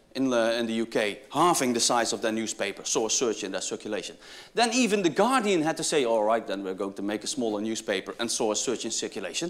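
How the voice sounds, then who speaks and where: A man with a Dutch accent speaks at a very fast pace with lively intonation. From Netherlands. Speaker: business school professor. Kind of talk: keynote speech.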